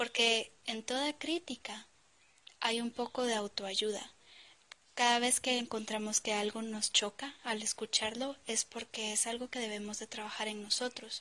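At a fairly slow pace, a woman talks in a plain, everyday voice with fairly high pitch. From Guatemala. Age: 20s. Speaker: podcaster. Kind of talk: motivational monologue.

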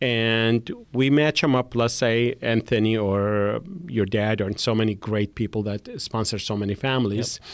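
A man with a normal speaking voice talks at a medium pitch and a moderate pace, using fairly even intonation. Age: 50s. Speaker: hotel businessman and charity founder. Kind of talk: podcast interview.

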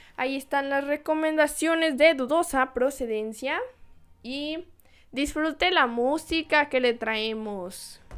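In a Jalisco accent, a woman speaks at a fairly slow pace with a high pitch and lively intonation, on a very clean recording with a silent background. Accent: Mexican Spanish, Jalisco. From Mexico, Guadalajara, Jalisco. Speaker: podcast host. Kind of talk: solo podcast monologue. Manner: casual, animated.

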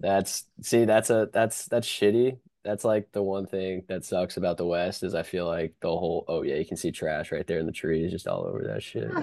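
A man with a dark, mellow tone and a fairly low pitch talks at a moderate pace with hardly any pauses. His pitch varies in an ordinary way against a quiet background. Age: 20s. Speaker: podcast co-host. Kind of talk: casual chat. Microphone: new headset.

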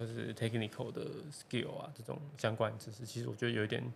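In an ordinary speaking voice, a man talks at medium pitch with fairly even intonation. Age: 20s. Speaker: semiconductor engineer. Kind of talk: casual chat.

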